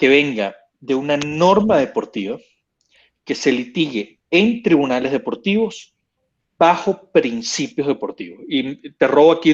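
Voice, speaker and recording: A man speaks at a fairly high pitch with very wide pitch swings. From Venezuela. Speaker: sports lawyer. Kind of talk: casual panel talk.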